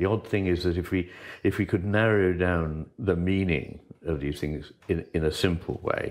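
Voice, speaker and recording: A man's very deep, low voice at a fairly slow pace, with fairly even intonation and a quiet background. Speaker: interviewee. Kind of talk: interview answer. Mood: thoughtful, reflective. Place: home room.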